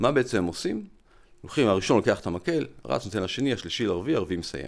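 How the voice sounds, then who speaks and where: Against a silent background in a very clean recording, a man speaks at a very fast pace with very wide pitch swings. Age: 50s. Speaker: physician and lecturer. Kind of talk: interview conversation. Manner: explanatory.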